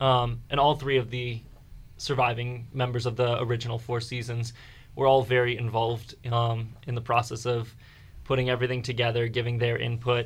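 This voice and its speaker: With an American accent, a man speaks at a moderate pace and medium pitch in a somewhat breathy voice with monotone, flat intonation. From Fredericksburg, Virginia. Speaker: musical theater actor. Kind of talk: radio interview.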